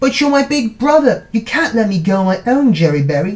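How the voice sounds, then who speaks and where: The put-on character voice is squeaky and fairly high in pitch, moving at a fairly quick pace. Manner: sweet, coaxing.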